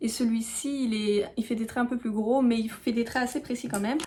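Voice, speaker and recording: A woman talks with ordinary pitch variation. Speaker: beauty YouTuber. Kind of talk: tutorial. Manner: hesitant, many fillers.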